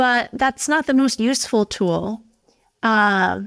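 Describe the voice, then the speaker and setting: A woman talks at a fairly slow pace, her pitch varying in an ordinary way, with little sound behind her. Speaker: guest. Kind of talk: interview answer. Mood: warm, smiling. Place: office. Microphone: earbuds.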